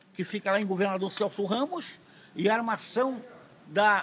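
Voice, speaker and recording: In a raised, projected voice, a man speaks at a moderate pace with a high pitch and a bright, sharp tone. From Santa Catarina, southern Brazil. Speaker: fisherman. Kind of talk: interview answer. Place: street. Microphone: phone near.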